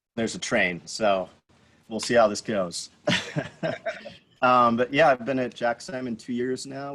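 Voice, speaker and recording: A man with an American accent uses a normal speaking voice at a moderate pace. His pitch is medium with ordinary pitch variation. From San Diego, California. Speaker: winemaker. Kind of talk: self-introduction on video call. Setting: outdoors on video call.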